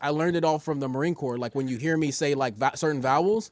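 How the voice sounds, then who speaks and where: Here is a man talking. He speaks with an American accent. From Southern California. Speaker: rapper and Marine veteran. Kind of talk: casual interview chat. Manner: animated; fast, repetitive filler words.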